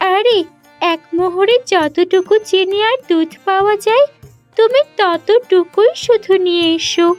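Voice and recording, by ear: A woman's cartoonish character voice at an extremely high pitch, with faint music in the background. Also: fairly slow pace.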